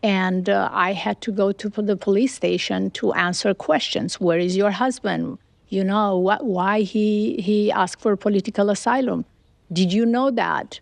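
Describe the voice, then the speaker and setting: A woman with a Romanian accent, medium pitch, ordinary pitch variation, very even loudness and moderate pace, in a dry, close sound with no echo against a quiet background. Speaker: businesswoman. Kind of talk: interview.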